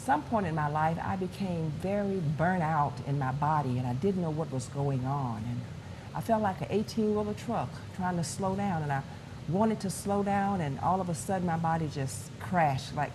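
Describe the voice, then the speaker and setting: Speaking at a moderate pace with lively intonation, a woman with a very deep, low pitch is heard over audible room echo. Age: 60s. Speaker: pastor. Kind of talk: testimony.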